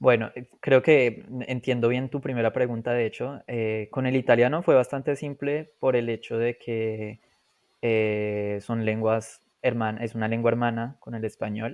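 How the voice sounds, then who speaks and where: Against a quiet background, a man with an unremarkable speaking voice talks fairly slowly at a medium pitch with fairly even intonation. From Colombia. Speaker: polyglot, language learner. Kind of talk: podcast interview.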